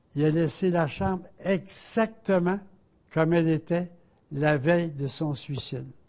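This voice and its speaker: With a dark, mellow tone and a fairly high pitch, a man talks at a very slow pace with ordinary pitch variation. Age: 80s+. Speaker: religious TV host. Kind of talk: spiritual talk.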